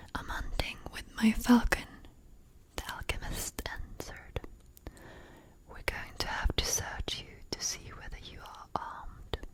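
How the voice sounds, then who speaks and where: Over noticeable background noise, a woman whispers, with big swings in loudness and long, frequent pauses. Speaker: ASMR artist. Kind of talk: book reading for sleep. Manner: soft-spoken, slow.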